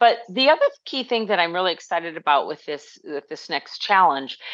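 A woman speaks at a moderate pace with a fairly low pitch, a fairly bright tone and big pitch swings.

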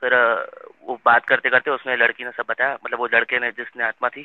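Flat and monotone, a man speaks at a medium pitch. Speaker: storyteller sharing a ghost story. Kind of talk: casual storytelling. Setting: online audio space. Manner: quiet.

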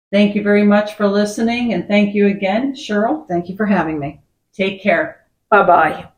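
At a moderate pace, a woman speaks at medium pitch in a somewhat breathy voice with ordinary pitch variation. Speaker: podcast host. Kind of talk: casual chat.

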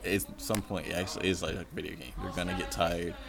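A man speaks with a very deep, low pitch and ordinary pitch variation. Noticeable background noise runs under the recording. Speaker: podcast co-host. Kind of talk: casual sports debate. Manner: blunt, opinionated.

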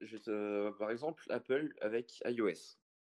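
This man has a normal speaking voice at a medium pitch. His pitch varies in an ordinary way. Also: dry, close sound with no echo. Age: young. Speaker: software developer. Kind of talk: casual online panel discussion.

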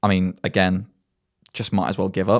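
A man's fairly low voice with an English accent at a moderate pace, on a very clean recording with a silent background. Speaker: student radio host and DJ. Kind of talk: casual radio show presenting, playful self-mocking banter between songs. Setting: radio studio broadcast. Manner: chatty, jokey, filler-heavy with frequent ums; self-deprecating, mock-pompous.

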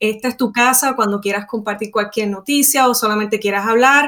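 This is an unremarkable speaking voice at a moderate pace. The intonation stays fairly even. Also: woman. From Puerto Rico. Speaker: podcast host, instructional designer. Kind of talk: interview.

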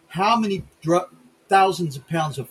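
A man is speaking. His intonation is lively. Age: 60s. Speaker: podcast host. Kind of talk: political rant; casual chat.

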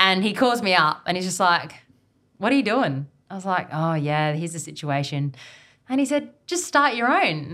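A woman with an Australian accent speaks at a medium pitch and moderate pace, her bright, sharp tone swinging very widely in pitch on a very clean recording with a silent background. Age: 20s. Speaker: outdoor guide and business founder. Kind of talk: casual interview chat. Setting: evening recording.

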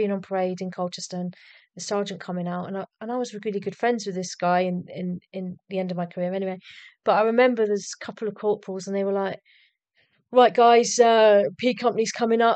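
Very fast speech comes from a woman with an English accent. The background is quiet. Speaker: army medic veteran. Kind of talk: casual interview.

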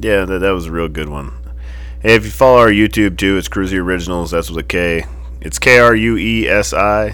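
The voice moves at a fairly quick pace with very wide pitch swings. Audible room echo surrounds it. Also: man, very deep, low pitch for a man. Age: 40s. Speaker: motorcycle shop owner and podcast host. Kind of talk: casual chat. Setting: motorcycle shop. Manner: animated.

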